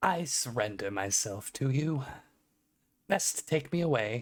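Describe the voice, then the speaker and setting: Putting on a character voice, a man speaks at a fairly slow pace, gravelly and medium in pitch. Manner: cool, mock surprise.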